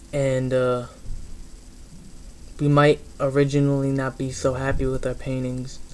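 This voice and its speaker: Speech at a fairly slow pace, broken by long, frequent pauses, over noticeable background noise. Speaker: motivational vlogger. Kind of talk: motivational monologue. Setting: on a train. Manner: rambling, casual.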